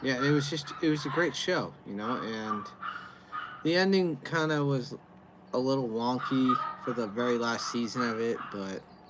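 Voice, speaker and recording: Noticeable background noise is present throughout. The talking goes at a moderate pace. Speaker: beer reviewer livestreamer. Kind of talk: casual livestream chat.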